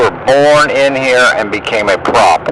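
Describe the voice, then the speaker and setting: Noticeable background noise sits beneath this recording. The man speaking has a medium pitch. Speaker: conspiracy-minded religious vlogger. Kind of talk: monologue video commentary. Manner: hesitant fillers.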